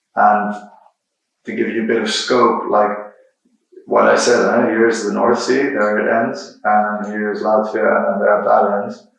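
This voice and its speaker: A man's fairly slow delivery amid audible room echo. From Netherlands, Rotterdam. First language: Dutch. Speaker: software engineer and creative technologist, guest lecturer. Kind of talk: lecture.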